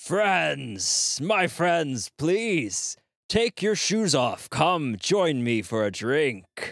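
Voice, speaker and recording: In a put-on character voice, a man speaks at a very slow pace and fairly high pitch with very wide pitch swings and very even loudness, in a very clean recording over a silent background. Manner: eerie, inviting, in unison.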